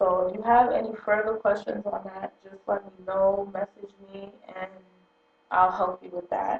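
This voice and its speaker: A woman speaks softly at a medium pitch. Her intonation is monotone and flat. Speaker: hair tutorial vlogger. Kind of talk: tutorial. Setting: at home early morning. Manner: soft-spoken.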